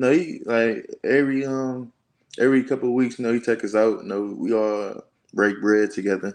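A man with an American accent talks at a moderate pace in a medium-pitched voice. His pitch varies in an ordinary way, and his is an unremarkable speaking voice. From Detroit, Michigan. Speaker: college football player. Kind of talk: casual interview.

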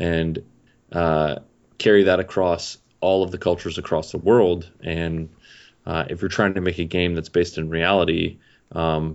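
At a moderate pace, the man speaks with a very deep, low pitch. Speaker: video game developer. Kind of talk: casual chat. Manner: unenthusiastic.

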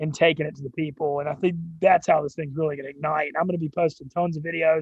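Here a man talks with a Southern US accent. His pitch sits fairly high. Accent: Southern US, noticeable drawl and twang. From Louisiana, US South. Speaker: sports media personality. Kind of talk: casual interview chat. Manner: energetic, loud in videos.

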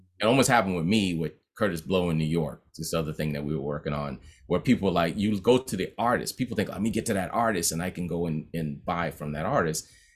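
Very fast and with lively intonation, a man with an American accent speaks at a very deep, low pitch. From Boston (Roxbury). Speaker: music composer and producer. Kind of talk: interview. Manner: casual, animated.

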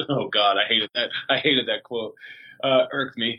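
A normal speaking voice from a man, medium in pitch, with fairly even intonation at a fairly slow pace. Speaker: reality TV contestant. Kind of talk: casual interview chat.

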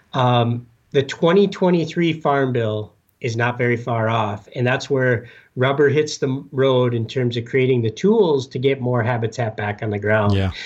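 A man with an American accent uses a normal speaking voice at medium pitch and a fairly slow pace. His pitch variation is ordinary, and the background is quiet. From Upper Peninsula of Michigan. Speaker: conservation organization staffer. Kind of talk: interview.

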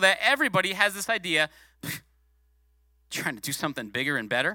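A man speaks in a raised, projected voice with a bright, sharp, animated tone and very wide pitch swings. The recording is very clean with a silent background and a dry, close sound with no echo. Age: 40s. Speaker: guest preacher, former youth pastor. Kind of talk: sermon. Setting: church.

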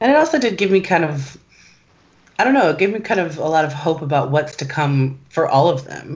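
Somewhat breathy and very deep in pitch, a woman talks at a fairly quick pace with very wide pitch swings. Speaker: podcast co-host. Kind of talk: casual chat.

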